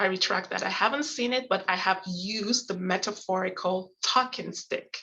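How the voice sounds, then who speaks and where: Moderately paced and with ordinary pitch variation, this is a plain, everyday voice. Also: woman, medium pitch for a woman. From Canada. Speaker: conflict and negotiation educator. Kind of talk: lecture.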